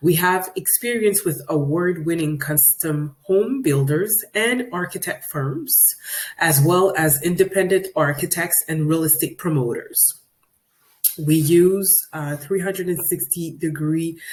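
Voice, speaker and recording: A woman speaks with a French accent at a fairly low pitch. Her pace is fairly slow, with ordinary pitch variation. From Quebec, Canada. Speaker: 3D visualization specialist. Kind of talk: webinar presentation. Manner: hesitant, frequent fillers.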